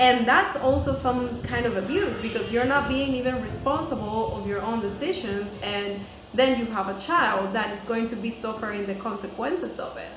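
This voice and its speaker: A woman with a Spanish accent speaks at a moderate pace with lively intonation and hardly any pauses. Audible room echo and noticeable background noise surround her. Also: fairly high pitch for a woman. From Venezuela. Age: 30s. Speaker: teacher and video blogger. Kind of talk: vlog monologue.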